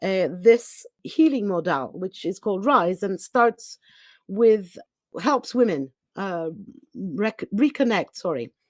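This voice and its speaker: Very slowly and with lively intonation, a woman with a Greek accent speaks on a very clean, dry, close recording with no echo and a silent background. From Greece. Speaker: spiritual teacher. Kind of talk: podcast interview. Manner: halting.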